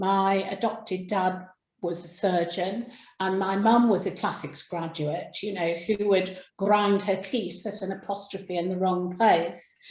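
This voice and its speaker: Speaking fairly slowly with an English accent, a woman uses a somewhat breathy, medium-pitched voice with monotone, flat intonation, and the room echo is audible. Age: 60s. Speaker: crime writer. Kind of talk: interview. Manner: halting.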